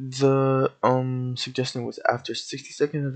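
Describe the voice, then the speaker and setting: A man is speaking. His voice is quiet. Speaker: YouTube game scripting tutor. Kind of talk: tutorial. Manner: quiet and laid-back.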